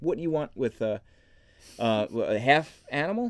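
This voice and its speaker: A man's fairly high voice swings very widely in pitch, captured with a dry, close sound, no echo, and a very clean recording with a silent background. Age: 30s. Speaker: podcast host, anime and gaming blogger. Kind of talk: casual chat.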